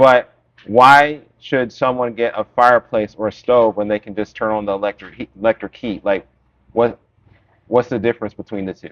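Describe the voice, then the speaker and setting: A man with an American accent speaks in a normal speaking voice at medium pitch and a moderate pace. His intonation is fairly even, but his loudness swings widely. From Florida. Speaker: interviewer. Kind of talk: interview.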